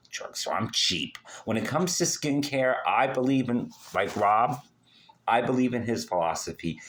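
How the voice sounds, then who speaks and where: On a very clean recording with a silent background, a man speaks fairly slowly with vocal fry. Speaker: skincare vlogger. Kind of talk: casual vlog monologue. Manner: halting.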